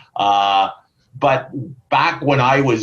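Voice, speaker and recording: A man speaks with a Canadian accent. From Ontario, Canada. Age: 60s. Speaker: sales manager. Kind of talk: casual interview. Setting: video call. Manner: hesitant, many fillers.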